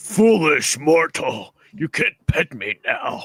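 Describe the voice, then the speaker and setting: A man talks very slowly at a fairly high pitch in a put-on character voice. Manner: menacing, pompous.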